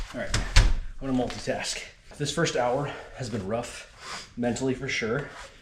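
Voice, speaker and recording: A man at a medium pitch and moderate pace, fairly even in intonation, with long, frequent pauses, noticeable background noise and audible room echo. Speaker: ultrarunner vlogger. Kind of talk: casual vlog narration while running.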